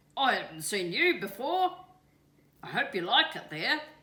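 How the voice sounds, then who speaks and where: A female-sounding, croaky put-on character voice, high-pitched for a woman, with very wide pitch swings at a moderate pace. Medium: read story. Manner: croaking.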